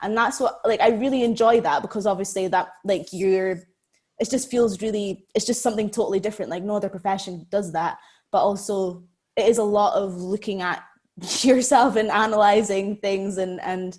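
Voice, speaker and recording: In an Aberdeen accent, a woman speaks at a moderate pace and medium pitch with fairly even intonation, on a very clean recording with a silent background. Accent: Aberdonian Scottish, drops T's. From Scotland, Aberdeen. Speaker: actress. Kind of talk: podcast interview. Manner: casual, many fillers like 'like'.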